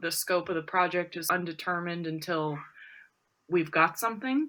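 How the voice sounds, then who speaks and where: Speaking at a moderate pace, a woman has a bright, sharp tone and lively intonation. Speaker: printmaking press owner. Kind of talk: interview. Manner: halting.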